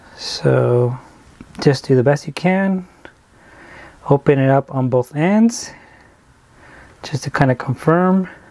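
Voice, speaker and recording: The speech moves at a very slow pace. Pauses are long and frequent. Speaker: sheet metal tradesman. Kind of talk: tutorial. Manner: casual, step-by-step instruction.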